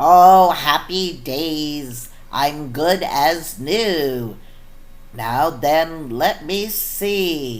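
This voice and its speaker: A woman's put-on character voice, very deep and low, at a very slow pace. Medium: read story. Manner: mopey then cheerful.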